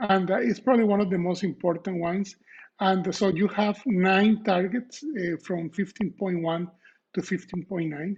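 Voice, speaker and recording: A Costa Rican accent at a moderate pace with ordinary pitch variation. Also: man. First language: Spanish. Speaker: professor. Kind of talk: lecture. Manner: halting, many fillers.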